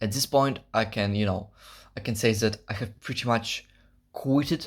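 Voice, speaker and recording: The recording is very clean, with a silent background. A man speaks at medium pitch. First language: not English. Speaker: fitness vlogger. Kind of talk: casual vlog monologue. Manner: halting, searching for words.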